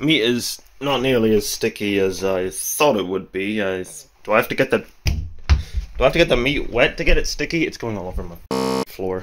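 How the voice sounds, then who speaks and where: A man speaks at a medium pitch and a moderate pace, his intonation lively. Background noise is noticeable behind him. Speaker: university student. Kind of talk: casual talk to camera.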